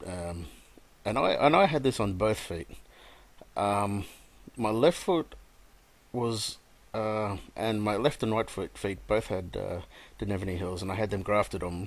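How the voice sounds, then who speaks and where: A man with an Australian accent, fairly low in pitch with ordinary pitch variation, at a moderate pace with long, frequent pauses, on a very clean recording with a silent background. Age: 30s. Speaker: gamer telling his life story. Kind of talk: personal testimony. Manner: halting, many fillers.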